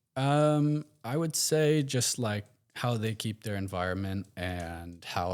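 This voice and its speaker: A man's pitch varies in an ordinary way in this very clean recording with a silent background. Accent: American. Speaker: guest. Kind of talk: casual chat.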